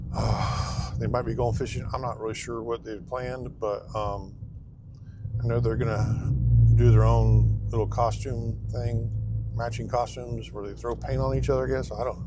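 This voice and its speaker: An American-accented man at a moderate speed, amid noticeable background noise and audible room echo. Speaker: dumpster rental business owner. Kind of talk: casual vlog while driving. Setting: in a truck. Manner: soft-spoken; hesitant, many fillers. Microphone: wearing a new clip mic.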